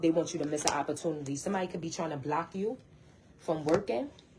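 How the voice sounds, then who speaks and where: A woman with a very deep, low pitch and a dark, mellow, somewhat breathy tone talks at a fairly quick pace with ordinary pitch variation. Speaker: tarot card reader. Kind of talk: tarot reading. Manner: fast, repetitive.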